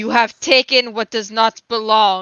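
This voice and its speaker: A put-on character voice, female-sounding and fairly high in pitch, carries the clip. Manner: angry, commanding.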